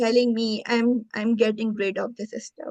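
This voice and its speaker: Speaking with a non-native accent, a woman has a fairly high pitch. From Pakistan. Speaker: marriage fraud victim. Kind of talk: interview testimony.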